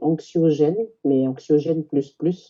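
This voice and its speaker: Very slow woman's speech, very deep and low in pitch, with ordinary pitch variation. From New Caledonia, Kanak, grew up in Houaïlou. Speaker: Kanak community member. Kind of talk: casual discussion.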